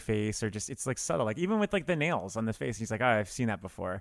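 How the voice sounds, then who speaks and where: A man with an American accent speaks in a plain, everyday voice at a medium pitch, with lively intonation. The recording is very clean, with a silent background. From US South, South Florida. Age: 30s. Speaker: film podcaster. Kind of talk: casual chat.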